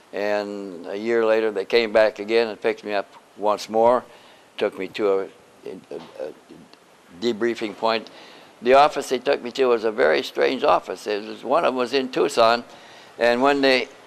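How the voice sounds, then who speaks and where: With an American accent, a man speaks at medium pitch with ordinary variation and a moderate pace. Long, frequent pauses break up his speech, and background noise is noticeable. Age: 80s+. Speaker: retired air force officer and UFO researcher. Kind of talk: interview testimony. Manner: halting, with frequent repetitions.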